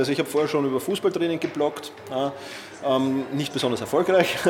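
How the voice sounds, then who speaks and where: With a Viennese accent, a man speaks at a fairly quick pace in fairly even intonation. Noticeable background noise runs underneath. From Austria, Vienna. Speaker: productivity expert and author. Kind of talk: interview. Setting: hotel lobby.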